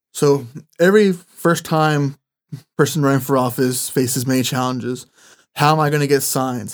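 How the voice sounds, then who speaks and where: At a fairly quick pace, a man with an American accent speaks with fairly even intonation. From California Central Valley. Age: 20s. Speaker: former mayoral candidate. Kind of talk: interview.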